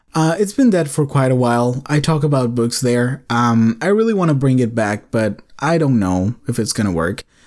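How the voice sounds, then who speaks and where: A man with a medium pitch speaks at a moderate pace with lively intonation, very even loudness and hardly any pauses. The recording is very clean, with a silent background. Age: 20s. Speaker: student podcast host. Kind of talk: casual monologue. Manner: laughs often.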